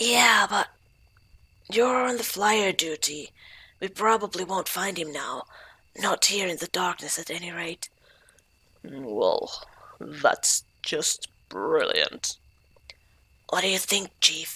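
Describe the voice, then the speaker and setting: Someone uses a put-on character voice, speaking fairly slowly with long, frequent pauses. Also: woman, medium pitch for a woman. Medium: solo performance.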